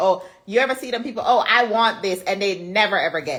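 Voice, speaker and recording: The voice is animated, moving at a fairly quick pace with ordinary pitch variation. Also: woman. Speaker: small business owner and content coach. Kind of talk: live webinar Q&A talk. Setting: live video call.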